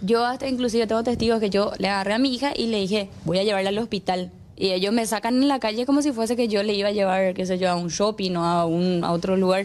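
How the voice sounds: A woman talks at a fast pace with few pauses. Her medium-pitched voice has a slightly mellow tone and fairly even intonation.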